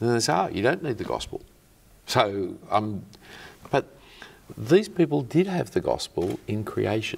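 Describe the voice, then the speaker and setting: A man with an Australian accent at a moderate pace, with long, frequent pauses. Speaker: clergyman. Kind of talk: interview. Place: studio. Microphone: lapel.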